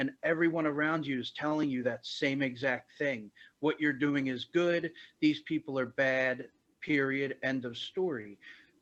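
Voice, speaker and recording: A man's ordinary speaking voice, fairly high in pitch, at a fairly slow pace against a quiet background. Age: 40s. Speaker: former extremist leader, nonprofit director. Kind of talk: interview conversation.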